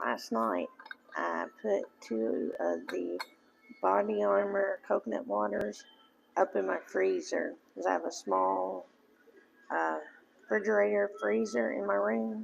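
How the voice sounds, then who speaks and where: The pace is very slow. Long pauses come often. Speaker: craft video maker. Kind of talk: casual tutorial.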